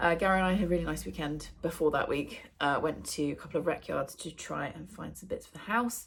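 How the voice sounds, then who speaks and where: With an English accent, a woman speaks at a fairly quick pace with hardly any pauses and big swings in loudness. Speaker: book vlogger. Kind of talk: casual vlog chat. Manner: casual, with many fillers.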